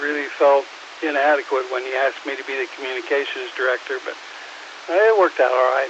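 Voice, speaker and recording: Amid noticeable background noise, a man with an American accent speaks in a fairly high pitch. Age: 70s. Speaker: former emergency communications director, ham radio operator. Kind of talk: radio net conversation.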